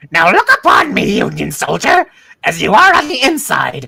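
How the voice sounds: In a put-on character voice, the speaker uses a high pitch and a menacing, theatrical tone at a moderate pace.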